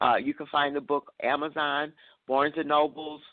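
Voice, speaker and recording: Speaking at a moderate pace, a woman has a slight Southern US accent. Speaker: talk show host interviewing authors. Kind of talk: casual interview chat. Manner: frequent fillers and repetitions.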